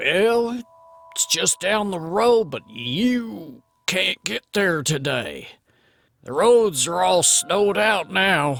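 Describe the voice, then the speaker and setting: A man's put-on character voice, high-pitched, with very wide pitch swings at a very slow pace. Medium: audio drama. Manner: plain-spoken, calm.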